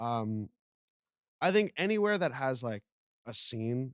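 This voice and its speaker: A man with a medium pitch speaks at a fairly slow pace with ordinary pitch variation, in a dry, close sound with no echo. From Montreal, Canada. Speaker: musician, band frontman. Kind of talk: casual chat. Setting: studio. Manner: loud.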